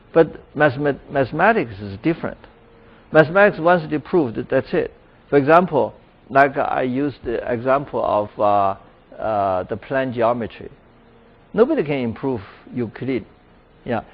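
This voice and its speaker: With a Chinese accent, a man speaks at a moderate pace in a fairly high pitch. His intonation is lively, broken by long, frequent pauses. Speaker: professor. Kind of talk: lecture Q&A.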